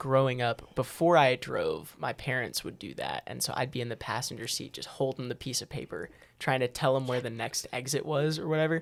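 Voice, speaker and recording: Speaking fairly quickly in a normal speaking voice at medium pitch, a man lets his loudness swing a lot. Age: 20s. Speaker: church podcast co-host. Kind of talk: casual chat.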